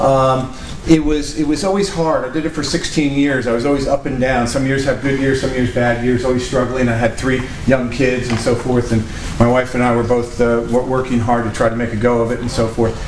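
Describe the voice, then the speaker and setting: A man with a northeastern American accent, medium pitch, fairly quick pace and fairly even intonation, over noticeable background noise and audible room echo. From Connecticut. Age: 60s. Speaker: entrepreneur and speaker. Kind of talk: talk to an audience. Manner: halting, many fillers.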